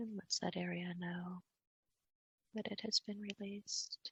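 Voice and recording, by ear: A woman's fairly low, fairly bright voice at a slow pace, with vocal fry, a husky, rough edge, fairly even intonation and a dry, close sound with no echo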